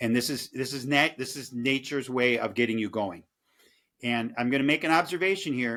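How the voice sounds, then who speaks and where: A man speaks at medium pitch with a bright, sharp tone. The recording is very clean with a silent background. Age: 60s. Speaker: caffeine expert. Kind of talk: casual interview. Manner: halting.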